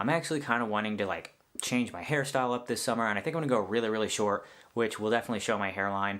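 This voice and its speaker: A man speaks at a very fast pace. His pitch is medium, with ordinary variation. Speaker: vlogger. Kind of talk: casual vlog update. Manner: rambling, filler-heavy.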